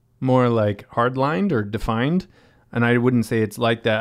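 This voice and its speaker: Speaking at a moderate pace with an American accent, a man has a plain, everyday voice, medium pitch, and ordinary pitch variation against a quiet background. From western Massachusetts, US. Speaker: hostel owner and sustainability NGO founder. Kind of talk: casual chat.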